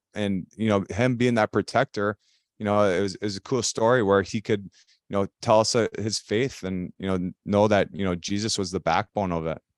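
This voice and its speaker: A man talks at a moderate pace with hardly any pauses and fairly even intonation. His pitch is fairly low, and the recording is very clean with a silent background. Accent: Upper Midwest. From Minnesota, Elk River. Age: 30s. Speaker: retired ice hockey player. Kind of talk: casual interview. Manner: halting, many fillers.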